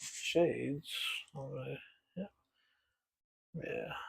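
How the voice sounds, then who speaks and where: A man talks in a soft-spoken way. His pace is fairly slow. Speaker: miniature painting hobbyist. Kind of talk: casual tutorial narration. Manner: soft-spoken, quiet; halting.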